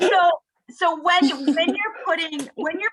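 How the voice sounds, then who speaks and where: In a raised, projected voice, a woman speaks with a bright, sharp tone. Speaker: sales manager leading team training. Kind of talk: training tutorial on video call. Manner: animated.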